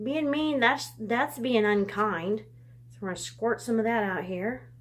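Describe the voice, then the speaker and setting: Over noticeable background noise, a woman speaks at a fairly slow pace in a fairly high voice, her loudness swinging widely. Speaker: children's message teacher at church. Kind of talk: object lesson demonstration. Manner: halting, stuttering.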